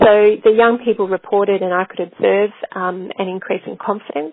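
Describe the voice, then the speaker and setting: Using an Australian accent, a woman of medium pitch speaks at a fairly quick pace with fairly even intonation. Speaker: researcher presenting a case study. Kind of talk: webinar lecture presentation. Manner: hesitant, many fillers and restarts.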